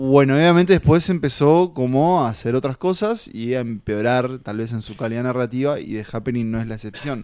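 A man with a Uruguayan accent at medium pitch, fairly quick with hardly any pauses, ordinary pitch variation and big swings in loudness, on a very clean recording with a silent background. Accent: Uruguayan Spanish (Rioplatense). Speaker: film podcast co-host. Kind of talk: casual chat.

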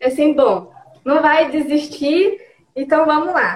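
The woman speaks with a high pitch. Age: 30s. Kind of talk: interview. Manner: halting. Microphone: connection freezing.

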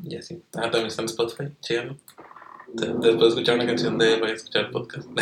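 The speaker has a Mexican accent and a very fast pace. Intonation stays fairly even. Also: man, medium pitch for a man, big swings in loudness. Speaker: YouTuber and podcast host. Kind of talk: casual chat.

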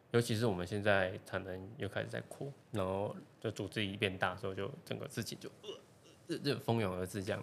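Talking at a fairly quick pace, a man has an unremarkable speaking voice with a fairly low pitch and ordinary pitch variation. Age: 20s. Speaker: semiconductor engineer. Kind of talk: casual chat.

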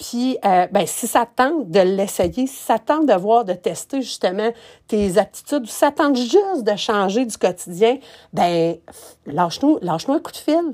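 A woman with a Quebec accent speaks at a fairly high pitch in a dark, mellow tone, her pitch swinging very widely. The recording is very clean, with a silent background. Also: fairly slow pace. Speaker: podcast host, event planner. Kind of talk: casual monologue. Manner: halting, many fillers.

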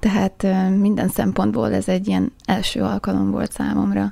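Speaking at a fairly slow pace, a woman delivers her words. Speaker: traveller. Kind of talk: interview. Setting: studio.

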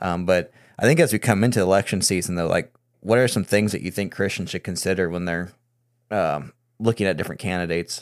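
On a very clean recording with a silent background, a man with an American accent and a very deep, low pitch speaks at a very fast pace with ordinary pitch variation. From US Midwest. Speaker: podcast host. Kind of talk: casual political discussion.

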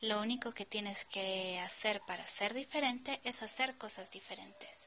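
With noticeable background noise behind her, a woman talks in a fairly high pitch. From Guatemala. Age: 20s. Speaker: podcaster. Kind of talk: motivational monologue.

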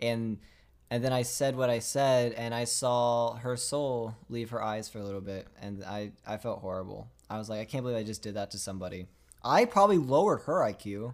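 On a very clean recording with a silent background, a man in a normal speaking voice with an American accent talks at a fairly quick pace, medium pitch and ordinary pitch variation. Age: young. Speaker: podcast co-host and videographer. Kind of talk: casual chat.

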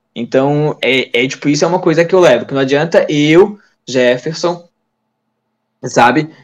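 Here a man talks in a fairly high pitch. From Santa Catarina, Brazil (Tijucas). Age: 20s. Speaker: lab technician. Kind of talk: casual interview. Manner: halting, many repetitions.

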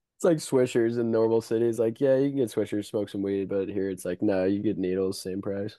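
With a plain, everyday voice, this man speaks at a moderate pace with hardly any pauses, using ordinary pitch variation at a fairly low pitch. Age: 20s. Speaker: podcast co-host. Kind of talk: casual chat. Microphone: new headset.

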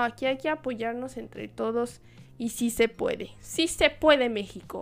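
In a Jalisco accent, a woman speaks in an animated tone at a fairly high pitch and a fairly slow pace, on a very clean recording with a silent background. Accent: Mexican Spanish, Jalisco. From Mexico, Guadalajara, Jalisco. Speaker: podcast host. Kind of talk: solo podcast monologue. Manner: casual, animated.

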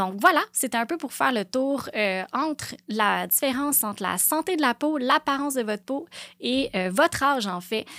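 With a Quebec accent, a woman speaks in a high pitch with a bright, sharp tone and lively intonation, in a very clean, silent recording that sounds dry and close with no echo. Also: moderate pace. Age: 30s. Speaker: aesthetic clinic owner. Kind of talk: casual monologue. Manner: halting.

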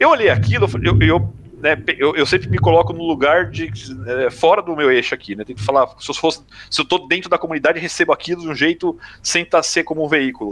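Very fast speech comes from a man with a fairly high pitch and vocal fry. His intonation is lively. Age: 40s. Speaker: gaming media professional. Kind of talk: casual chat.

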